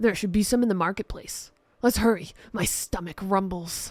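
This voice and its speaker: Using a raspy, put-on character voice at medium pitch, a woman talks at a moderate pace in a very clean recording with a silent background. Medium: audio drama. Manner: gruff.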